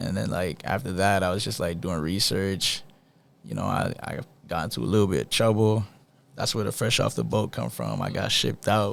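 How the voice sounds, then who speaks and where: Vocal fry comes through in an American accent. The pitch swings very widely and the pace is fairly quick. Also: man, very deep, low pitch for a man. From Boston, Roxbury. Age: young. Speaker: rapper. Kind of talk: casual interview.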